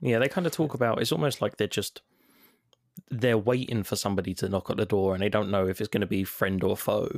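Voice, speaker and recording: Very fast speech in a London accent, with ordinary pitch variation and very even loudness. The recording is very clean, dry and close, with a silent background and no echo. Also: man, fairly low pitch for a man. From London, England. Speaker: podcast co-host, former game reviewer. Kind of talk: casual chat.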